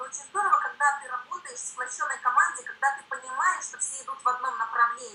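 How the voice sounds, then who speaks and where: A raised, projected voice carries a bright, sharp tone and lively intonation. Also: woman. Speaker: network marketing director. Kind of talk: seminar talk. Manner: fast.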